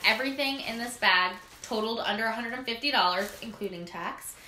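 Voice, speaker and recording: A woman is heard with audible room echo. Light background noise is present. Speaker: lifestyle blogger. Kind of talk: casual vlog chat.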